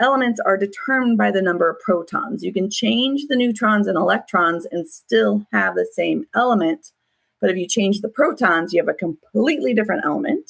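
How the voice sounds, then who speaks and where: Her pitch medium, a woman talks at a fairly quick pace with vocal fry and very wide pitch swings. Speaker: online school science teacher. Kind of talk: class review lecture. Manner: casual, with many fillers.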